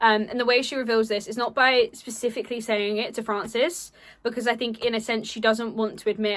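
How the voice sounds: A natural reading voice delivers the passage. Intonation holds fairly even.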